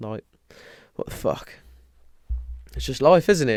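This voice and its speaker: A man with a British accent speaks at a moderate pace in a very clean recording with a silent background. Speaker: podcaster. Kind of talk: casual podcast talk.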